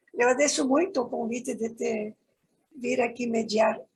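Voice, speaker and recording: The pace of this woman is fairly slow. She talks at a high pitch. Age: 80s+. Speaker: environmental activist and moderator. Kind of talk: panel greeting.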